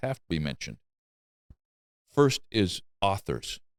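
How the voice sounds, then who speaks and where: A man with a very deep, low pitch, vocal fry, and very wide pitch swings. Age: 60s. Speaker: carpenter and craftsman YouTuber. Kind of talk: casual chat. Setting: in his shop.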